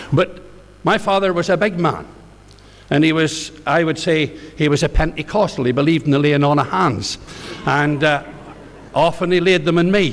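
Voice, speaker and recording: With a Northern Irish accent, a man speaks at a moderate pace with ordinary pitch variation and very even loudness, leaving long, frequent pauses amid noticeable background noise. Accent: Northern Irish (Ballymena). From Northern Ireland, County Antrim (near Ballymena). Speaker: pastor. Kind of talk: testimony.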